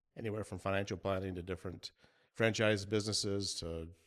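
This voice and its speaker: Talking at a very fast pace, a man with a fairly low voice shows ordinary pitch variation on a very clean recording with a silent background. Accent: Midwestern US. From US Midwest, Michigan. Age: 50s. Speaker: small business owner. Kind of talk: interview.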